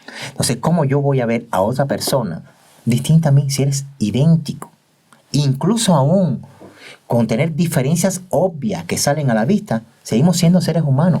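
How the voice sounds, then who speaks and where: The speaker uses an ordinary speaking voice at a moderate pace. The intonation is lively. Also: man, fairly high pitch for a man. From Cuba. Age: 50s. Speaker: doctor and teacher. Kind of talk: interview testimony.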